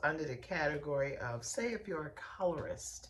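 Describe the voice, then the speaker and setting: A woman speaks at a very deep, low pitch with lively intonation. Noticeable background noise sits behind her. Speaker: podcast host and beauty industry coach. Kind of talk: podcast monologue. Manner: animated.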